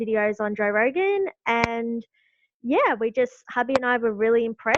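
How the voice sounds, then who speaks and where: A fairly high-pitched woman at a moderate pace. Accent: Australian. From Australia. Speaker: YouTuber, political supporter. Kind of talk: podcast interview.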